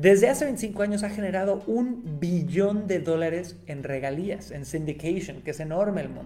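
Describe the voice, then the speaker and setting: Animated and high-pitched, a man speaks with a Mexican accent and ordinary pitch variation. His loudness swings widely over noticeable background noise. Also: moderate pace, hardly any pauses. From Mexico, Cancún. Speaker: podcast host, marketing agency. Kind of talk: solo podcast monologue.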